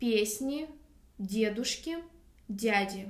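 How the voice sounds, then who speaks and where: With audible room echo, a woman speaks very slowly at a fairly high pitch. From Russia. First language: Russian. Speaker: language teacher. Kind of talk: tutorial.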